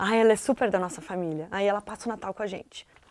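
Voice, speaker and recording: A woman speaks against a quiet background. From southern Brazil, Porto Alegre; Rio Grande do Sul, Brazil. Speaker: TV presenter. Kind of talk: casual chat. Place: studio.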